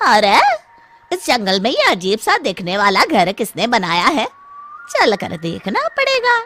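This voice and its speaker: The speaker uses a cartoonish character voice at a fairly slow pace. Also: man, high pitch for a man. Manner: loud, theatrical.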